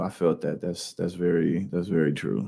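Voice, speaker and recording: A man talks at a fairly slow pace with vocal fry. His pitch is very deep and low. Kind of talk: casual news reaction commentary. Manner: casual, conversational.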